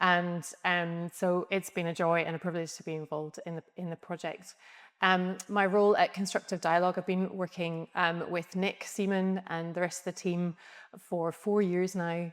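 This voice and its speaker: A woman with a Scottish accent, fairly low in pitch, in a monotone, flat intonation. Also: moderate pace. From Scotland. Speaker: architect. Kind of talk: interview. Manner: hesitant, many ums.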